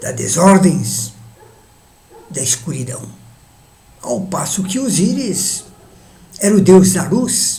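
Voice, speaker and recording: Amid audible room echo and noticeable background noise, a man speaks at a very slow pace in a high voice with very wide pitch swings and long, frequent pauses. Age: 80s+. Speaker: elderly video essayist. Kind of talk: monologue reflection.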